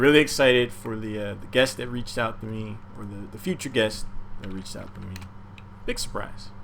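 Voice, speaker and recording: A man speaks fairly quickly with ordinary pitch variation and big swings in loudness. Room echo is audible. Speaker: game streamer and caster. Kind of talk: casual livestream chat. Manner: quiet.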